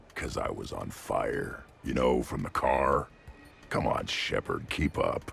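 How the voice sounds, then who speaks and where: A man's raspy, put-on character voice in a deadpan tone, fairly slow, with music in the background. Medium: video game. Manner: blunt, gruff, deadpan.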